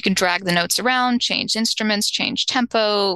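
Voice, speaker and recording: A woman with an American accent speaks at a medium pitch in a bright, sharp tone with ordinary pitch variation, the sound dry and close with no echo. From US Midwest. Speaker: AI artist. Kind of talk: interview.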